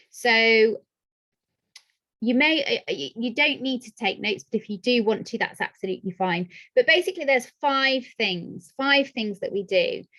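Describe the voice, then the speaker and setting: A high-pitched woman in a British accent, bright and sharp in tone, with lively intonation and big swings in loudness. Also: moderate pace. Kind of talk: online workshop.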